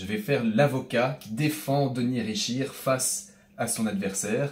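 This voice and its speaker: At a fairly slow pace, a man with a slight Belgian accent speaks at a medium pitch in a somewhat breathy voice, with ordinary pitch variation and big swings in loudness. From Belgium, Brussels. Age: young. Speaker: comedian. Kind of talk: interview. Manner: hesitant, with fillers.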